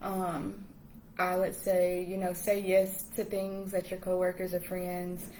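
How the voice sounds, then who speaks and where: A woman's medium-pitched voice in a Southern US accent, with noticeable background noise. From US South, Washington, Georgia. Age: 20s. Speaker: English teacher abroad. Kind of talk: casual interview chat. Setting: live stream.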